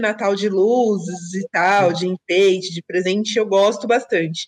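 A woman's medium-pitched, ordinary speaking voice at a fairly slow pace, dry and close with no echo. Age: 30s. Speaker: guest, friend of host. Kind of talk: casual chat.

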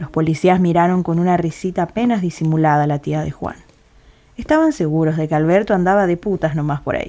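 Fairly low in pitch, a woman talks at a very fast pace. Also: fairly even intonation. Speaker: audio drama narrator. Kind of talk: dramatic narration of a short story, reading literary prose. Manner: measured, atmospheric, somber.

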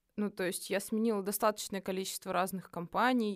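In a very clean recording over a silent background, the words rush by at a very fast pace. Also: woman. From Russia, Nizhny Novgorod. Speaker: psychologist. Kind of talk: casual chat. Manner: animated.

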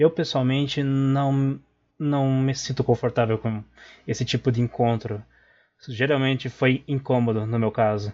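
A man with an unremarkable speaking voice talks at medium pitch and a fairly slow pace, with fairly even intonation. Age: 20s. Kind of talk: recorded voice message.

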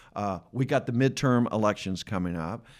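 A man speaks in a plain, everyday voice with an American accent, fairly low pitch and ordinary pitch variation. The recording is very clean, with a silent background. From Atlanta, US South. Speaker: podcast host. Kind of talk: casual interview chat. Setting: studio.

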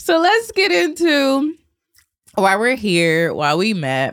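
On a very clean recording with a silent background, a woman with an American accent speaks in an animated tone with very wide pitch swings. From Georgia, US South. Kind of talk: casual interview.

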